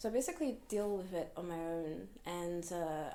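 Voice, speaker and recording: Dark, mellow tone with ordinary pitch variation and audible room echo. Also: woman. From Hong Kong. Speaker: fortune teller. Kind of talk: interview. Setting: podcast. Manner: casual.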